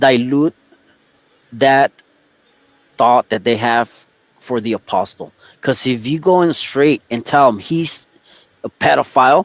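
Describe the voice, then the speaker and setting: A man of medium pitch speaks fairly slowly with long, frequent pauses and ordinary pitch variation, the sound dry and close with no echo. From Texas. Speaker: podcast guest. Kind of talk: casual chat.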